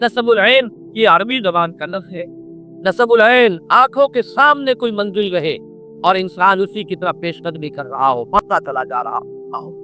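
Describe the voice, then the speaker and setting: Projecting a raised voice, a man speaks at a high pitch with lively intonation while music plays in the background. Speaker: Islamic scholar. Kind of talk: religious lecture.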